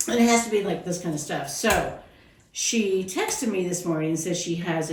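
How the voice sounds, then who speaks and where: Noticeable background noise sits under a woman talking in a fairly low voice. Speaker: psychic medium and spiritual teacher. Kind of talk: casual podcast banter.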